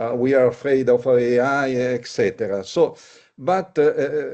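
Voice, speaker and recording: A man with an Italian accent and a fairly high pitch speaks at a fairly slow pace with ordinary pitch variation. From Italy. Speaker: labour market analytics executive. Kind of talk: panel discussion. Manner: halting, many hesitations.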